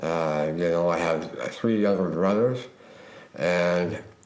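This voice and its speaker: A man's very deep, low voice at a fairly slow pace, with audible room echo. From Utah. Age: 50s. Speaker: suicide attempt survivor. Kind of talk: testimony. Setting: recording in a model home. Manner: halting.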